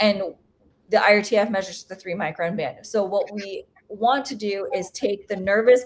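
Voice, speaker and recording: A woman with a normal speaking voice talks at a moderate pace in a medium pitch. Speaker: planetary scientist. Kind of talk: seminar Q&A. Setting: video call.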